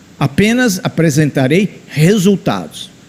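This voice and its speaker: A man with lively intonation speaks at a fairly slow pace over noticeable background noise. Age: 70s. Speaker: engineering professor. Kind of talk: conference talk.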